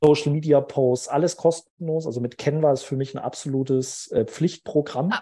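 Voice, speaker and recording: Fairly high in pitch and somewhat breathy, a man talks at a moderate pace with fairly even intonation and hardly any pauses. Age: 30s. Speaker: recruiting consultant. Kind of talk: interview.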